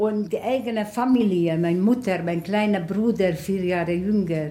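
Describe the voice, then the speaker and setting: A woman with a Hungarian accent speaks at medium pitch and a moderate pace, with ordinary pitch variation and a dark, mellow, somewhat breathy tone. Room echo is audible. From Hungary, Budapest. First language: Hungarian (speaking German). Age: 90s. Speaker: Holocaust survivor. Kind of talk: interview testimony. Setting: at home.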